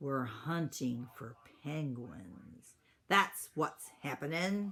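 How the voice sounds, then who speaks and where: A gruff, growling put-on character voice at a low-to-middle pitch and a very slow pace, in a very clean recording with a silent background. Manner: growling, gruff.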